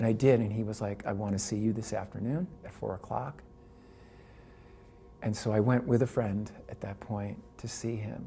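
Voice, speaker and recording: The voice has a dark, mellow tone and is somewhat breathy, with ordinary pitch variation. It moves at a moderate pace, broken by long, frequent pauses. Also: man, fairly low pitch for a man. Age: 60s. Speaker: cancer patient and advocate. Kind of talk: personal testimony.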